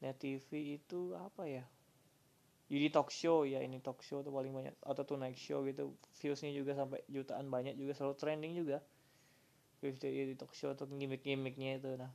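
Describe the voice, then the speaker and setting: His tone is dark, mellow and relaxed, set in a fairly high pitch. The man's intonation stays monotone and flat. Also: moderate pace. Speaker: solo podcaster. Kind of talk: casual monologue. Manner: halting, many fillers.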